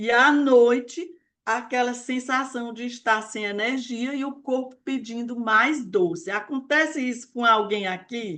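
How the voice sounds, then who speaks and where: Pitched high for a woman, her voice moves at a fairly slow pace. Her pitch varies in an ordinary way. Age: 60s. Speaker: weight-loss mentor. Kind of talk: live online talk. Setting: live stream.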